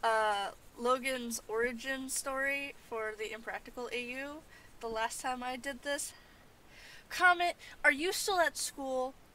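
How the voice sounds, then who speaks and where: The voice is raised and projected, with a bright, sharp tone. It moves at a fairly slow pace with ordinary pitch variation. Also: woman, high pitch for a woman. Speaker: livestreamer doodling and chatting. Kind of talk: casual chat. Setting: home livestream. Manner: halting.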